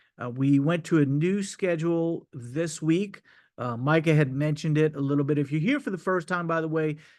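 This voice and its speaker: At a moderate pace and with ordinary pitch variation, a man with a fairly high pitch speaks over a quiet background. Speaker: crypto marketing presenter. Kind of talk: sales pitch. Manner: hesitant, many fillers.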